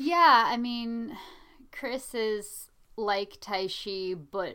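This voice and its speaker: On a very clean recording with a silent background, a woman's bright, sharp tone carries lively intonation. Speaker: podcast host. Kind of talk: casual chat. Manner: dry, teasing.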